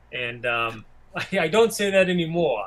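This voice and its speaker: Using lively intonation and a moderate pace, a man talks in an American accent. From Massachusetts. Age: 60s. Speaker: independent filmmaker. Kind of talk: interview. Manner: halting.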